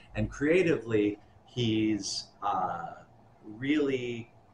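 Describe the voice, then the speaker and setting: A man speaks in a medium pitch. There is light background noise and audible room echo. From US Midwest, Milwaukee; Wisconsin. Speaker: rapper and musician; interviewee. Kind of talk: oral history interview. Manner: casual, halting with many fillers.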